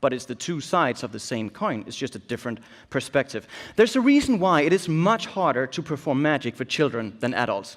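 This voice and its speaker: A man with a Danish accent speaks at a fairly quick pace, his pitch fairly high and swinging very widely. The recording is very clean, with a silent background. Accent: Danish accent, noticeable. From Denmark. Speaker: illusionist and keynote speaker. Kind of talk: keynote speech.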